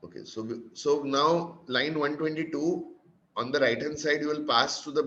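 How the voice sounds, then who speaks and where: A man with an Indian accent speaks at a fairly high pitch with fairly even intonation. His loudness swings widely, and room echo is audible. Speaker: programming instructor. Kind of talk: lecture. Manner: fast.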